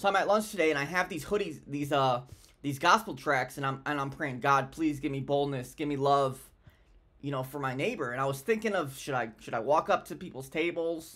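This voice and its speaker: A man talks at a fairly quick pace with a bright, sharp tone. His pitch variation is ordinary. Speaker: vlogger sharing a faith story. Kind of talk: casual vlog chat. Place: home room. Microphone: webcam.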